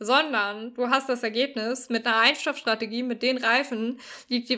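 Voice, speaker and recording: High-pitched, a woman talks at a moderate speed. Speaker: sports podcast co-host. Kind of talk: casual explanatory chat. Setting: remote recording. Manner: animated.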